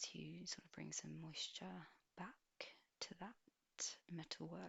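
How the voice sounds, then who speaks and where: The voice is whispering. Its tone is gentle. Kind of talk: ASMR roleplay, personal attention spa treatment. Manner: soft-spoken, gentle.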